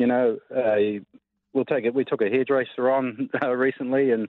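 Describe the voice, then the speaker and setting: A man speaks in a New Zealand accent. His intonation stays fairly even. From New Zealand, Cromwell. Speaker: mining company executive. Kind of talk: radio interview. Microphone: lag on the line.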